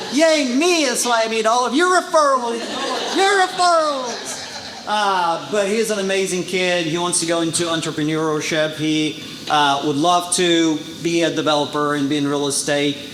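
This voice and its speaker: With a Portuguese accent, the speaker uses lively intonation at a moderate pace, with audible room echo and noticeable background noise. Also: man, high pitch for a man. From Brazil. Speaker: title insurance sales rep. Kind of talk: business presentation. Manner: casual, many fillers.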